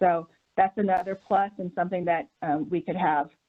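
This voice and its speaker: A woman with a plain, everyday voice at medium pitch, moderate pace and fairly even intonation. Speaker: program organizer. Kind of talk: presentation.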